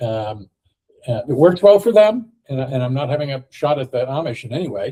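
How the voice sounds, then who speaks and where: The tone is dark, mellow and somewhat breathy. The speaker has an American accent. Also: man. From US, Ohio. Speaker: podcast host. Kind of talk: casual discussion. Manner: halting, many fillers.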